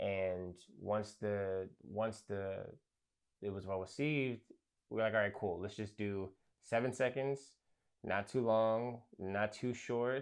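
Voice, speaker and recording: In a quiet background, a man with an American accent speaks very slowly at a fairly low pitch, with fairly even intonation and long, frequent pauses. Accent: New York, comes and goes. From New York, Brooklyn. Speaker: rapper and producer. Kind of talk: interview. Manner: hesitant, many fillers.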